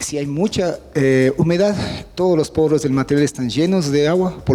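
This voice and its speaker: A man with a fairly high pitch talks at a fairly quick pace, with ordinary pitch variation and noticeable background noise behind him. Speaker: university professor and remediation expert. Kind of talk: technical seminar lecture. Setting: seminar presentation with audience. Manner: fast.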